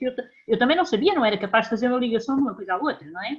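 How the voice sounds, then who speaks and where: A woman's high, lively voice at a very fast pace. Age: 60s. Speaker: patient with brittle bone disease. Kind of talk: audience question.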